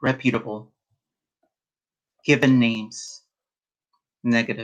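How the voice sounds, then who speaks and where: A man speaks at a very slow pace, leaving long, frequent pauses. His pitch sits at a medium level. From rural Mexico. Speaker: poet. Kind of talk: casual introduction to a reading; poetry reading. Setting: virtual reading event. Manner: halting.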